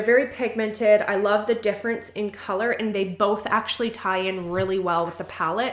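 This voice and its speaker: A woman at a medium pitch and fairly quick pace, with ordinary pitch variation, over noticeable background noise. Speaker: beauty vlogger. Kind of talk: product review. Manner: fast; animated.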